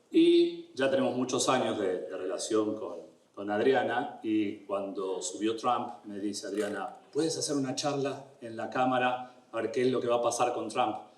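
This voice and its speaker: A man with an Argentine accent, audible room echo and noticeable background noise. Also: fairly slow pace, hardly any pauses. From Argentina. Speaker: immigration lawyer. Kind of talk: educational talk. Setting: event room with audience.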